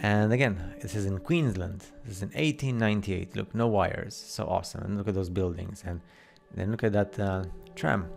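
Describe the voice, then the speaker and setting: Over music in the background, a man with a very deep, low pitch speaks at a fairly quick pace with fairly even intonation. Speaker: conspiracy video narrator. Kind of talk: casual commentary over photos. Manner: fast; hesitant, many fillers.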